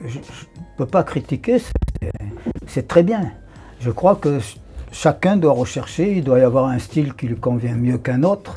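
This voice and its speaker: Noticeable background noise sits behind the speech. The delivery is fairly slow with lively intonation. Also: man. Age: 80s+. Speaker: martial arts teacher. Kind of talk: interview. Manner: halting.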